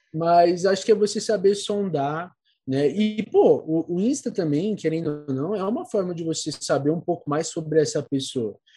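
Against a quiet background, a man with a high pitch and a dark, mellow tone speaks at a moderate pace with ordinary pitch variation. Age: 20s. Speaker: psychology student and podcaster. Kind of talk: casual chat.

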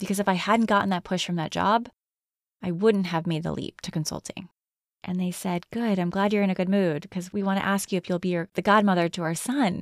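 This woman has a normal speaking voice at medium pitch with fairly even intonation, and the sound is dry and close with no echo. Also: fairly quick pace, very clean recording, silent background. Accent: American. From Connecticut. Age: 40s. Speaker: podcast host. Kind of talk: solo reflective monologue.

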